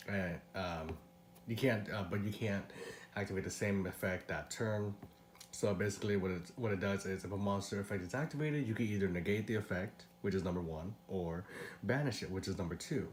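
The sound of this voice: Audible room echo surrounds a man speaking at a fairly quick pace. His voice is low in pitch and raspy. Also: ordinary pitch variation.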